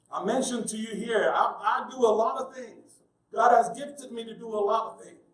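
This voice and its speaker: Audible room echo surrounds this voice, which moves at a moderate pace with ordinary pitch variation. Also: man. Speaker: pastor. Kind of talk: sermon.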